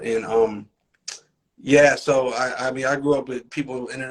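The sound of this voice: A man with an American accent talks at a medium pitch.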